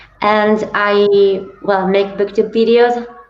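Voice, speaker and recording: Over noticeable background noise and audible room echo, a woman speaks with an Italian accent. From Italy. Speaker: booktuber. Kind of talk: casual discussion. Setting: livestream.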